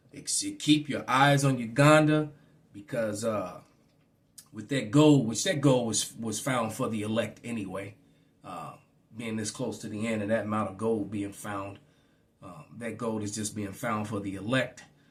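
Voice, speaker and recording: Somewhat breathy, a man speaks at a fairly slow pace with medium pitch. His pitch varies in an ordinary way while his loudness swings widely. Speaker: religious teacher. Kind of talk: bible teaching. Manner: halting, repetitive fillers.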